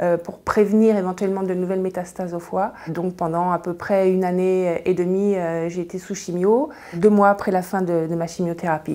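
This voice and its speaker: Her dark, mellow tone sits at medium pitch as a woman talks at a moderate pace with fairly even intonation. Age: 60s. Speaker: cancer patient. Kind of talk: testimony. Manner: halting.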